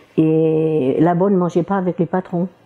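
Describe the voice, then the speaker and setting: A woman's voice at a fairly low pitch. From Portugal. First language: Portuguese (speaking French). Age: 60s. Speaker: retired cleaning lady. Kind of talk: interview testimony. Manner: halting, many hesitations; cheerful, often laughing.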